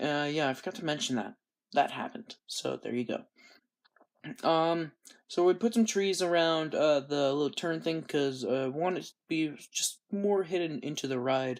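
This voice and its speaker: In a very clean recording with a silent background, a man with a fairly high voice and an ordinary speaking voice talks at a moderate pace with lively intonation. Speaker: gaming youtuber. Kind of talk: gameplay commentary. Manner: casual.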